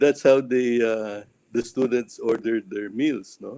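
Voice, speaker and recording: A man talks at a fairly slow pace, pitched in the medium range. His tone is dark and mellow. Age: 60s. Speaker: restaurant company executive. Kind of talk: interview.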